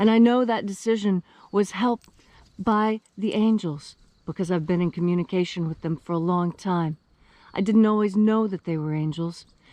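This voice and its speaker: A woman with an American accent speaks at medium pitch in a dark, mellow tone. Her pitch varies in an ordinary way, and the sound is dry and close with no echo. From West Virginia. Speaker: esoteric teacher. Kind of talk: spiritual talk. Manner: articulate, careful diction.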